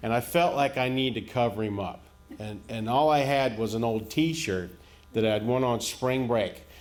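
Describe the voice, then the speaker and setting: A man's speech runs at a moderate pace. Behind him, music can be heard. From rural America. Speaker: stand-up comedian. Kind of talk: stand-up comedy set.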